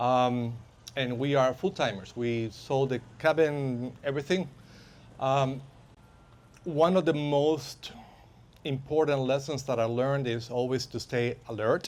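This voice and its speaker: With a Spanish accent, a man holds a medium pitch and fairly even intonation while taking long, frequent pauses. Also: fairly slow pace. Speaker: self-defense and firearms instructor. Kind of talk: workshop talk to live audience. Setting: workshop with live audience. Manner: halting, many fillers.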